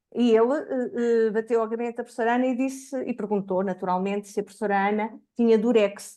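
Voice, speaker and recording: A woman with a fairly high voice and a dark, mellow tone talks at a fairly quick pace, with hardly any pauses and fairly even intonation. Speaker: education researcher. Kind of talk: academic seminar talk.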